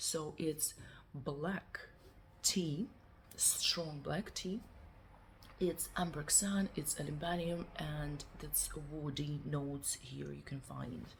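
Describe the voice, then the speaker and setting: Speaking with a non-native accent, a woman goes at a very slow pace with long, frequent pauses. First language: not English. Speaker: perfume reviewer. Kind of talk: product review. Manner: halting.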